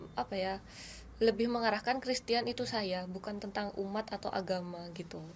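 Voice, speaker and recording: A woman at a moderate pace with lively intonation and a slight Central Javanese accent. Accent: slight Central Javanese softness in speech. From Madura, Indonesia (born Wonosobo, Central Java). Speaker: sitcom actress. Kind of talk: casual interview chat.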